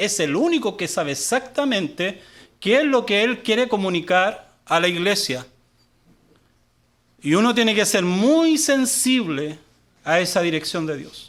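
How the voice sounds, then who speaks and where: Very wide pitch swings at a very slow pace, with long, frequent pauses, on a very clean recording over a silent background. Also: man. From Chile. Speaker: guest pastor. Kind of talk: sermon. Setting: church service, live. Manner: halting, many fillers.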